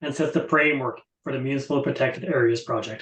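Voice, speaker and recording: A man with an Irish accent at a very fast pace, with ordinary pitch variation. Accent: Irish, drops th sounds. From Ireland. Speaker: conservation project presenter. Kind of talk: webinar presentation. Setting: online webinar.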